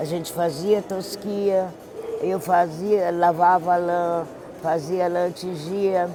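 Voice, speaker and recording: Music plays in the background. The pace is very slow. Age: 70s. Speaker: wool artisan. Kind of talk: documentary interview. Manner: halting.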